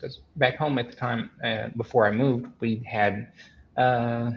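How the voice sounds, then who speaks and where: A man with a Southern US accent. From US South, Arkansas (Benton). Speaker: podcast guest, carnivore diet follower. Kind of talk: casual interview chat. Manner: halting, many repetitions and fillers.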